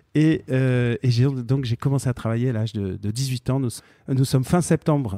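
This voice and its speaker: A man's dark, mellow voice at medium pitch with ordinary variation, dry and close with no echo, in a very clean recording with a silent background. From Marseille and Paris, France. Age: 40s. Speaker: business founder. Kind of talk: interview. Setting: company office. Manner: hesitant with many fillers.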